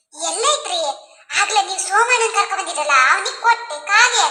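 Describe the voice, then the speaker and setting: In a cartoonish character voice, a woman speaks at an extremely high pitch with lively intonation. Her pace is moderate, and there is slight echo. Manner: chatty, grumbling.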